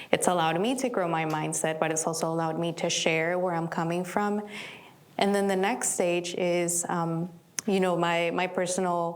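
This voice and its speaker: Amid noticeable background noise and audible room echo, a woman with a fairly low pitch speaks at a moderate pace in fairly even intonation. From immigrant, outside US. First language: not English. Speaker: community leader. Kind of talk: panel discussion.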